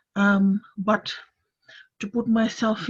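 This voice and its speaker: A woman with a medium pitch and a Fijian accent speaks in a somewhat breathy voice with monotone, flat intonation. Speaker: panellist. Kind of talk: panel discussion on video call. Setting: video call. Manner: halting, many fillers.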